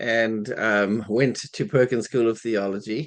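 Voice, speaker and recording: A man with a South African accent against a quiet background. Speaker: minister. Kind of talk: interview.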